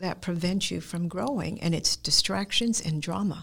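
A woman speaks at a fairly slow pace with vocal fry. Her medium pitch varies in an ordinary way. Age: 70s. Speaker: guest, martial arts practitioner. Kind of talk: personal testimony in interview.

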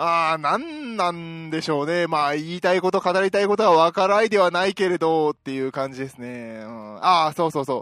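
At a fairly quick pace, a man with a high pitch speaks with lively intonation, big swings in loudness and hardly any pauses, in a dry, close sound with no echo. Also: very clean recording, silent background. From Osaka, Japan. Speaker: podcast host. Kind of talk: casual solo chat. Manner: upbeat.

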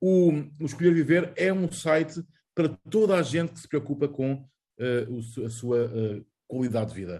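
A man's fairly high, dark and mellow voice, somewhat breathy, with lively intonation, a moderate pace and long, frequent pauses. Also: big swings in loudness. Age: 40s. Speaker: journalist. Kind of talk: casual chat.

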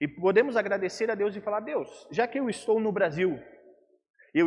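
Speaking at a fairly slow pace, a man uses lively intonation at a high pitch. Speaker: pastor. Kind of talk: sermon.

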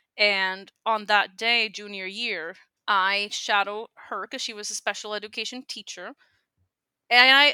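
A woman's bright, sharp voice at medium pitch with a Spanish accent, dry and close with no echo, on a very clean recording with a silent background. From Puerto Rico. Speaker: speech language pathologist. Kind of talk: interview conversation.

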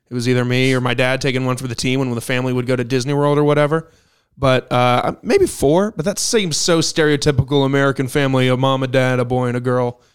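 Rushing along very fast, this man holds a mid-range pitch and fairly level intonation. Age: 20s. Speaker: podcast co-host. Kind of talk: casual chat.

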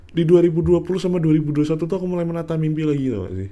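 A man speaks with a dark, mellow tone. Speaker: podcaster. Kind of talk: casual monologue.

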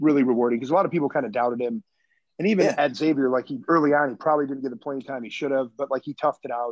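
A man with an American accent talks at a fairly high pitch, his voice dry and close with no echo against a quiet background. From Michigan. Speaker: basketball coach. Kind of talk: casual interview. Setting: video call.

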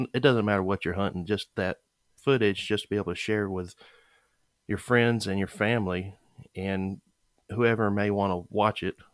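On a very clean recording with a silent background and a dry, close sound with no echo, a man with a Southern US accent talks at a fairly quick pace, fairly low in pitch, with fairly even intonation. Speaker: podcast host. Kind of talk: casual interview.

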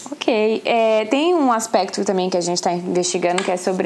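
A woman's medium-pitched voice, fairly slow in pace, with lively intonation and noticeable background noise. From Brazil. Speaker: podcast host, psychoanalyst. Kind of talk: interview.

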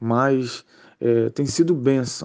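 The speaker is a man with a medium pitch. Fairly even intonation runs through his speech. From Rio de Janeiro, Brazil. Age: 30s. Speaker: church youth leader. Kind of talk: casual religious discussion.

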